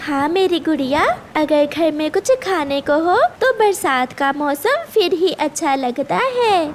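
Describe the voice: A woman's cartoonish character voice, high-pitched and slow, with big pitch swings and faint background noise.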